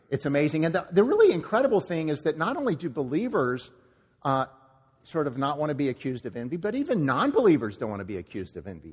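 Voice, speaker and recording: This man talks very fast at a fairly high pitch, with very wide pitch swings. Vocal fry runs through his voice. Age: 60s. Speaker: pastor. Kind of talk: sermon. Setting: church.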